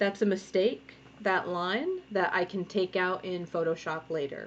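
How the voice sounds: Speaking at a fairly slow pace, a woman has a fairly low pitch. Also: ordinary pitch variation.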